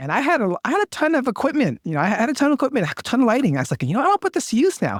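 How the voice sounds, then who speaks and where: Very fast and with very wide pitch swings, a man speaks. The recording is very clean with a silent background, dry and close with no echo. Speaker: digital marketer. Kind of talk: interview.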